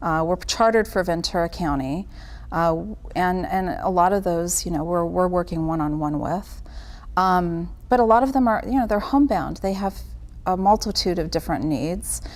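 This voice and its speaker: A woman's plain, everyday voice, fairly low in pitch with ordinary pitch variation, at a moderate pace. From Italian-American family. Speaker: caregiving nonprofit worker. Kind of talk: casual interview chat.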